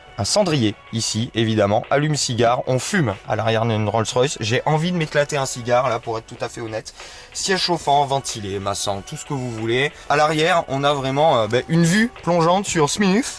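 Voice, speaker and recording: Lively intonation marks a man's medium-pitched voice at a moderate pace. Noticeable background noise sits behind him. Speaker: car reviewer, video host. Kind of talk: casual car review vlog. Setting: in the back seat of a car. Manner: hesitant, many fillers.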